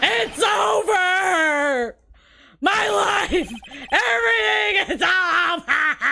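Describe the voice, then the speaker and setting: Someone shouts in a put-on character voice, high-pitched and dramatic. The pace is very slow. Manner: overly dramatic, wailing.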